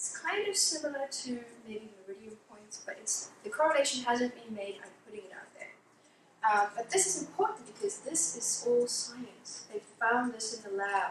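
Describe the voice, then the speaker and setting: Big swings in loudness, very wide pitch swings, and audible room echo. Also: woman, high pitch for a woman. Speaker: clinical hypnotherapist giving a presentation. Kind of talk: lecture. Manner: fast.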